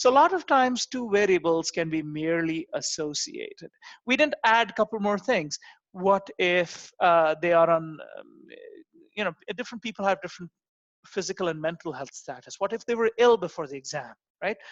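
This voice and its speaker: Non-native accent, moderate pace, dry sound with no echo and a quiet background. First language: not English. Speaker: university lecturer. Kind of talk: lecture. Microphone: video call.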